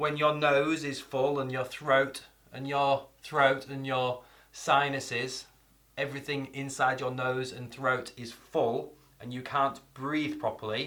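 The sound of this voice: A man with a fairly high pitch speaks at a very slow pace. His loudness swings widely while his intonation stays fairly even. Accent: northern English.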